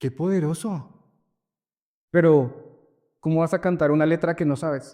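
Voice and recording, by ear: A man speaks at a fairly slow pace, his pitch fairly high and his tone dark and mellow. The recording is very clean, with a silent background. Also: ordinary pitch variation.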